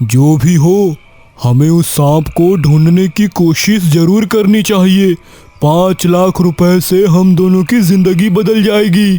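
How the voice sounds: A cartoonish character voice from a man, high-pitched and at a fairly slow pace.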